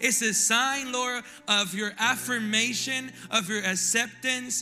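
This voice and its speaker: With music playing behind him, a man uses a raised, projected voice at an extremely high pitch, his intonation fairly even. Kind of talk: fervent prayer over people at the altar call. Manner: intense, pleading, earnest, with repeated urgent phrasing.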